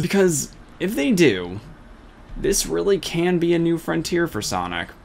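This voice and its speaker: Background noise can be noticed throughout. A man talks at a moderate pace. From Russia. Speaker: gaming video commentator. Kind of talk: scripted commentary monologue.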